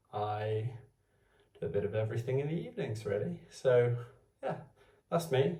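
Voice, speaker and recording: Somewhat breathy and dark, mellow in tone, a man speaks with ordinary pitch variation. Room echo is audible. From Wales. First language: Welsh. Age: 20s. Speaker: vlogger. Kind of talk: casual talk to camera. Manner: halting, hesitant.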